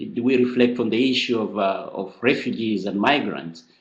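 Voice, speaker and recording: A man with a Kenyan accent talks at a moderate pace. His pitch is medium, with ordinary variation. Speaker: friar, seminar presenter. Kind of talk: presentation to a seminar. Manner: halting, many repeated words.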